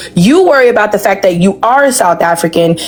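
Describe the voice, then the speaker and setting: A woman speaks fairly quickly with lively intonation, noticeable background noise audible behind her. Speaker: debate panelist. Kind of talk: heated debate.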